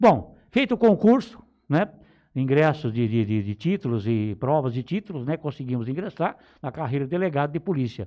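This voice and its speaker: Over a quiet background, a man with a dark, mellow tone speaks at a moderate pace, his pitch swinging very widely. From São Paulo state interior, Brazil. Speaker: police chief. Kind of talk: interview. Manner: halting. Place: studio. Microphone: studio mic.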